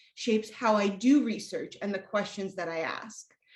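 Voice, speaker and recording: Somewhat breathy, lively intonation at a moderate pace over a quiet background. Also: woman. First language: Spanish. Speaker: academic researcher. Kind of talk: lecture. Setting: video call. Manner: formal.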